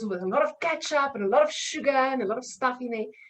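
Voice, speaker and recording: Talking at a very fast pace, a woman speaks with a South African accent. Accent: South African (Afrikaans) English. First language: Afrikaans. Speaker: nutrition coach. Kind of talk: podcast interview.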